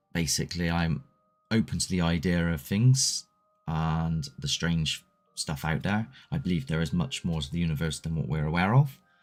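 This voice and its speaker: Over background music, a man with a very deep, low pitch speaks at a moderate pace with lively intonation. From Southwest England. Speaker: paranormal investigator and livestream host. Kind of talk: casual live chat reading viewer comments. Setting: solo livestream. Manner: loose and conversational, with hesitations.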